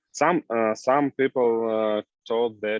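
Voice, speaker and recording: Fairly even intonation marks this man's fairly low-pitched voice. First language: Russian or Ukrainian. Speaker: new immigrant. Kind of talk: group discussion. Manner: halting.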